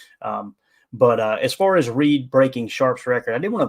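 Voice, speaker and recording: On a very clean recording with a silent background, a man with a Kentucky Appalachian accent talks at a moderate pace with ordinary pitch variation. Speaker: sports podcast host. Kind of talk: live stream sports talk. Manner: casual, halting with fillers.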